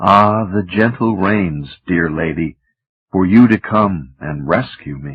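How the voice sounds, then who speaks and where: In a put-on character voice, a man sing-songs softly at a fairly slow pace and a very deep, low pitch. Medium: read story. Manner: soft, sing-song.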